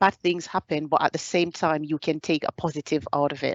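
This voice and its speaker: A woman with a Caribbean accent talks at a moderate pace in a very deep, low pitch with monotone, flat intonation. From Jamaica. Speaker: soldier. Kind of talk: presentation.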